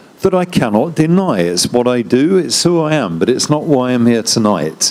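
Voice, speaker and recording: With very wide pitch swings, a man speaks fairly quickly as noticeable background noise plays behind him. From London, England. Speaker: diplomat. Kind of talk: panel talk.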